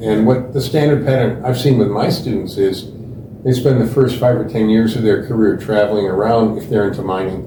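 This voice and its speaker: An American-accented man of medium pitch speaks at a fairly quick pace with fairly even intonation, with audible room echo and noticeable background noise. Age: 70s. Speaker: geology professor. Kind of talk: interview.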